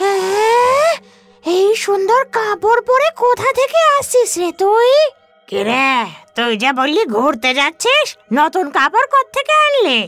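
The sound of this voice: A cartoonish character voice moves at a fairly slow pace with very wide pitch swings. Faint music plays in the background. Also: female-sounding voice, extremely high pitch for a woman.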